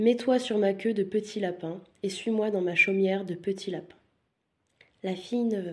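Somewhat breathy and soothing in tone, a woman speaks at a very slow pace. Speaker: bedtime story narrator. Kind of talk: bedtime fairy-tale storytelling. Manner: soft, soothing, slow-paced storyteller.

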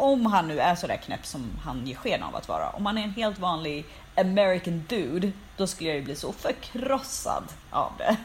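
Against noticeable background noise, a woman at a medium pitch talks at a moderate pace with very wide pitch swings. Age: 30s. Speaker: podcast co-host, cultural journalist. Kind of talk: casual chat.

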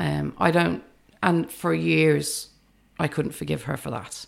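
A woman with vocal fry speaks at a fairly slow pace with very wide pitch swings. The recording is very clean with a silent background. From England, of an Irish family. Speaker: psychology academic and memoirist. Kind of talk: casual interview. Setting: at her home.

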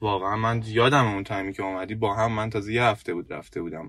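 This man talks at a very fast pace, with a medium pitch. The background is quiet. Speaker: podcast co-host, IT worker. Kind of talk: casual chat. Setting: in a car.

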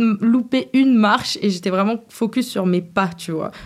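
Delivered at a fairly slow pace with ordinary pitch variation, this is an unremarkable speaking voice. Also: woman. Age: 20s. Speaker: singer. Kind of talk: casual chat.

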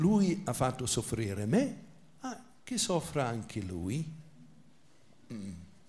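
A somewhat breathy voice at a very slow pace, with very wide pitch swings, long, frequent pauses and audible room echo. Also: man, medium pitch for a man. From England. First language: English (speaking Italian). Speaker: priest and biblical scholar. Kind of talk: lecture.

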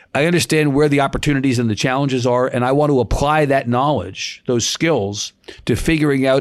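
A man's unremarkable speaking voice with an American accent, medium pitch, ordinary pitch variation and a fairly quick pace. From New York. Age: 50s. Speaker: news organization CEO. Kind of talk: interview. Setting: remote interview from home.

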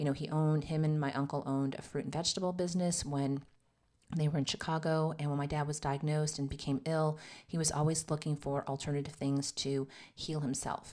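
On a very clean recording with a silent background, a woman with an American accent speaks at a fairly quick pace in a very deep, low pitch with monotone, flat intonation. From US Southwest, Arizona. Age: 50s. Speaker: podcast host and nurse practitioner. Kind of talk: casual monologue.

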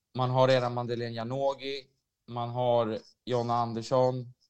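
A man's medium-pitched voice, monotone and flat in intonation, at a fairly slow pace. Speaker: women's football podcast co-host. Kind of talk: casual chat.

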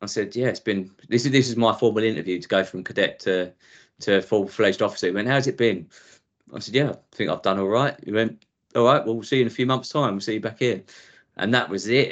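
A man with an Essex accent talks at a very fast pace and a medium pitch, with ordinary pitch variation over a quiet background. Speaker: former police officer. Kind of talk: interview.

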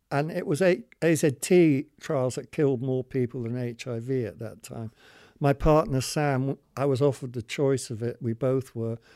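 On a very clean recording with a silent background and a dry, close sound with no echo, a man with a British accent speaks fairly slowly in a dark, mellow tone at a medium pitch with ordinary pitch variation. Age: 70s. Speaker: long-term HIV survivor. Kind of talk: testimony.

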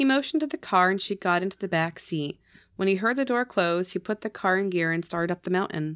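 Lively intonation in a natural reading voice

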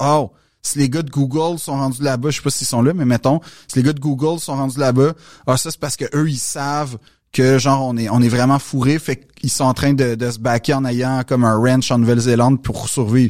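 With a Quebec accent, a man talks at a fairly quick pace and a fairly high pitch in a very clean recording with a silent background. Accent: Québécois French. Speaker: comedian and actor. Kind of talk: casual chat. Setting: studio.

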